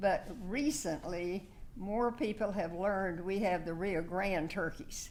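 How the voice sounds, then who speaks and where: A woman with a South Texas accent speaks at medium pitch and a moderate pace, with audible room echo. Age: 80s+. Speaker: local award nominee. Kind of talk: speech at council meeting. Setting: council meeting room. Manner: halting.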